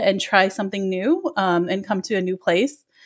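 Recorded very cleanly against a silent background, a woman with an American accent speaks at a fairly quick pace and medium pitch with ordinary pitch variation. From US Midwest, Chicago suburbs. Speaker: social worker. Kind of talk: interview. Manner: hesitant, many filler words.

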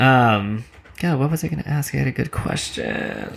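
Against noticeable background noise, a man with an American accent talks at medium pitch with very wide pitch swings. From Reading, Pennsylvania area. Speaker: podcast host and photographer. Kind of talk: casual interview chat; scripted podcast narration.

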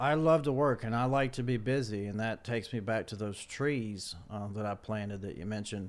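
A man with an ordinary speaking voice, medium pitch, ordinary pitch variation and a fairly quick pace. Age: 40s. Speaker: photographer. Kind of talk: casual chat.

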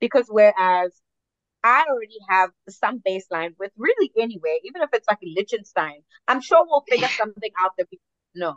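The voice moves at a fairly quick pace with very wide pitch swings and big swings in loudness. The sound is dry and close, with no echo. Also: woman, fairly high pitch for a woman. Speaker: podcast co-host. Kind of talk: casual chat.

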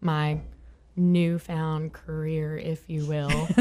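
A woman speaks with a Southern US accent. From Southern Virginia. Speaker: country singer. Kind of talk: casual chat.

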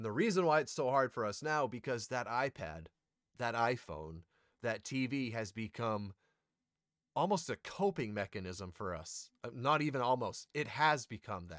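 In a very clean recording with a silent background and a dry, close sound with no echo, a man speaks at medium pitch and moderate pace, animated in tone, with very wide pitch swings. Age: 30s. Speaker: podcast host, content creator. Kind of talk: casual solo monologue. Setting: home recording.

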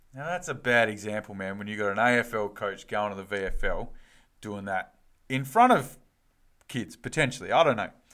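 In a very clean recording over a silent background, a man with an Australian accent speaks at a moderate pace and medium pitch with ordinary variation. His tone is bright and sharp, and his loudness swings a lot. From Western Australia. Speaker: footy podcast co-host. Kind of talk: casual chat.

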